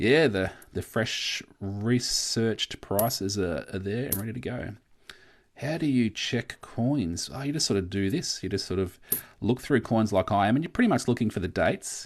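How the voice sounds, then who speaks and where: At a moderate pace, a man with an Australian accent speaks at a medium pitch with lively intonation. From Australia, Victoria. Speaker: coin collecting youtuber. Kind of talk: live stream chat. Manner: casual, filler-heavy.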